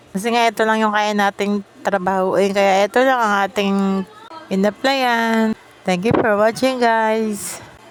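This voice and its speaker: A woman at a fairly high pitch with fairly even intonation, a fairly slow pace and very even loudness, over noticeable background noise. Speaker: vlogger. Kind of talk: casual vlog monologue.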